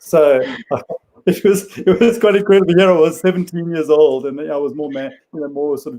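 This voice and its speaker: A man with a South African accent speaks at a fairly quick pace in a high pitch, his dark, mellow tone showing ordinary pitch variation and big swings in loudness. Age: 50s. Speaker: psychiatrist. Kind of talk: interview.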